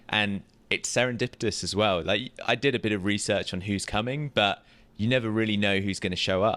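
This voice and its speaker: At a fairly quick pace, a man with a British accent talks in a fairly low pitch with a bright, sharp tone and fairly even intonation, captured on a very clean recording with a silent background. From UK. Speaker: podcast co-host, real estate tech business. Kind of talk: casual chat. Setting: live at a conference in Las Vegas.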